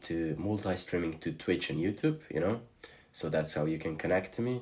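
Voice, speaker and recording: A man speaks at a fairly quick pace in a very deep, low voice with a Slavic accent. His pitch varies in an ordinary way. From Slovenia. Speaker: streamer. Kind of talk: live stream chat.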